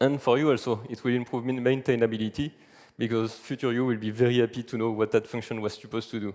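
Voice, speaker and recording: A man's very fast, flat, monotone speech at a medium pitch, in a strong French accent, on a very clean recording with a silent background. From France. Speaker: software engineer, conference speaker. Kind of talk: conference talk.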